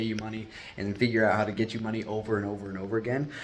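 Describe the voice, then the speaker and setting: Fairly even intonation from an unremarkable speaking voice. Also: man. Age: 20s. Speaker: entrepreneur vlogger. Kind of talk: casual vlog monologue. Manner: casual, conversational.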